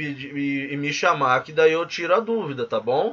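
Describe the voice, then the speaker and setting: A man speaks at a moderate pace with a fairly high pitch. It is a plain, everyday voice. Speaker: physical education teacher and course instructor. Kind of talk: tutorial.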